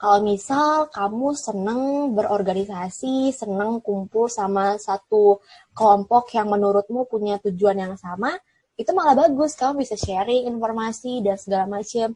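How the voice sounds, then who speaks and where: A woman speaks at a moderate pace in a somewhat breathy, shrill voice with a dark, mellow tone and ordinary pitch variation. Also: fairly high pitch for a woman, dry, close sound with no echo. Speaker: TV presenter and alumna. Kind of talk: interview. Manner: casual, chatty.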